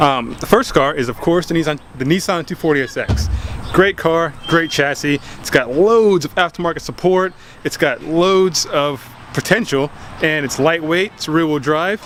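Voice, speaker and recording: Noticeable background noise sits behind a man whose fairly high voice shows ordinary pitch variation. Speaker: car enthusiast vlogger. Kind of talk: casual video talk. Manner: fast; animated.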